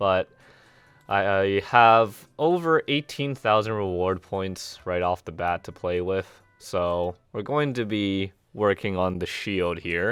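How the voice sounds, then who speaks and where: Over music in the background, a man talks fairly slowly at a fairly low pitch. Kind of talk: gameplay commentary.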